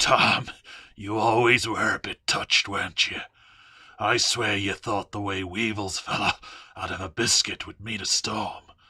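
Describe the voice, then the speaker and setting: In a put-on character voice, a man speaks raspy and fairly low-pitched at a moderate pace. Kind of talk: audio story reading. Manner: taunting, sly.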